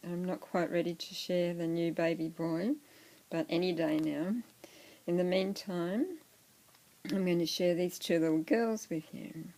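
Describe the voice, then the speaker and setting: Soft-spoken and dark, mellow in tone, the speaker talks in an Australian accent with long, frequent pauses. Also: woman, fairly low pitch for a woman, fairly slow pace. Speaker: doll collector vlogger. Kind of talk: casual show-and-tell vlog.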